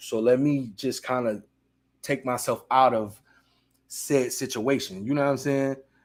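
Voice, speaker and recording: In a very clean recording with a silent background, a man is speaking. His pitch is medium and his pace fairly slow. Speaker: streamer hosting a reaction show. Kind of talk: casual live-stream chat. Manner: animated, loud.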